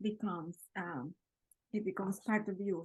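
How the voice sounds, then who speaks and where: A somewhat breathy woman's voice, dry and close with no echo. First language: Spanish. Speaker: podcast host, interviewer. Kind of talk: casual interview chat.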